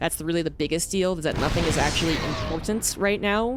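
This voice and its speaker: A woman's voice in an American accent, with ordinary pitch variation and noticeable background noise. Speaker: esports caster. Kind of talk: live commentary. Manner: fast.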